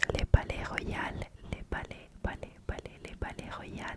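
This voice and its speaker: A woman whispers at a very slow pace. Noticeable background noise runs beneath her. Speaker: ASMR content creator. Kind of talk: ASMR trigger words, repeated place names.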